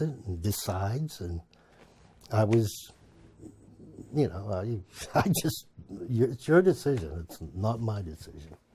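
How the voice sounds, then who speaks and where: A man's somewhat breathy voice at medium pitch, dark and mellow in tone, with lively intonation at a very slow pace. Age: 60s. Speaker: family caregiver. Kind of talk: documentary interview.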